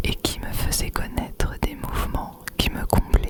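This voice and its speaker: Noticeable background noise sits behind a whispering woman. She speaks at a very slow pace. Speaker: ASMR creator. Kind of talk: whispered literary reading. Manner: whispered, soft, slow.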